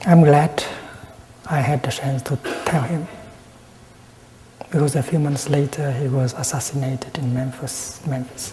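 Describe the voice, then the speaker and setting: A soft-spoken man with a fairly high pitch talks in a monotone, flat way, leaving long, frequent pauses. Noticeable background noise runs behind him. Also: moderate pace. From Vietnam. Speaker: Buddhist monk and peace activist. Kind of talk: Buddhist dharma talk. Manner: very calm, soft-spoken.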